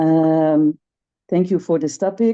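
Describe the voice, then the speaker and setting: In a Dutch accent, a woman speaks at a very slow pace with a dark, mellow tone and ordinary pitch variation against a quiet background. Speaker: webinar participant. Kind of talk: personal sharing in a webinar. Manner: halting, many fillers.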